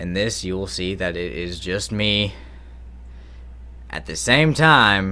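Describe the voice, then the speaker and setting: Loud and very slow, a man's voice moves through very wide pitch swings. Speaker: singer-songwriter YouTuber. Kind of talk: casual vlog talk.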